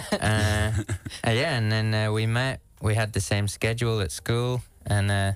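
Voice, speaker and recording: A fairly low-pitched man with an English accent on a very clean recording with a silent background. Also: fairly even intonation, moderate pace, very even loudness. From UK, small coastal town. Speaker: musician. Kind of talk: radio interview.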